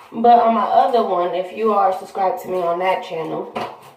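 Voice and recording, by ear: A woman speaks at a moderate pace in a fairly low pitch, her intonation fairly even and her tone slightly mellow. Strong room echo surrounds her voice.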